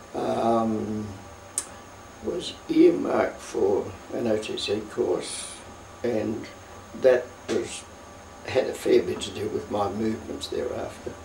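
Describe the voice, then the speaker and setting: A man with an Australian accent talks at a very slow pace, leaving long, frequent pauses. Audible room echo and noticeable background noise surround him. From Australia, Victoria (Melbourne). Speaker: war veteran. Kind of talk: oral history interview. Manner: halting.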